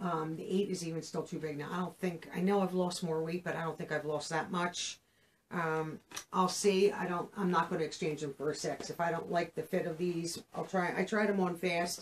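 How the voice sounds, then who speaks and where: Over light background noise, a woman speaks at a moderate pace in a monotone, flat intonation. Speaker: clothing haul vlogger. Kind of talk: casual vlog chat. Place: home room.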